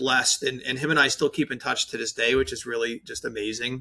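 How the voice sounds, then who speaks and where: A man speaks in a medium pitch with a slight New York accent. His intonation is fairly even. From New York, Staten Island. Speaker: branding agency owner, designer. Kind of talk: podcast interview.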